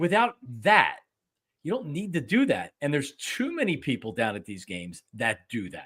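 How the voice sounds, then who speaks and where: This man has an American accent and a fairly high pitch with very wide swings, plus some vocal fry. His tone is animated at a moderate pace, and the recording is very clean with a silent background. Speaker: sports podcast host. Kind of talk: casual chat. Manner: loud.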